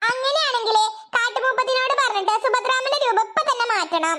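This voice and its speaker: This is a cartoonish character voice that sounds female. It sits at an extremely high pitch and moves at a moderate pace. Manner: direct, insistent.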